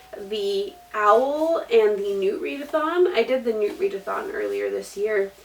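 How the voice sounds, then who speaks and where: Over noticeable background noise, a woman talks at a very slow pace with high pitch and lively intonation. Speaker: booktuber. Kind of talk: book review vlog.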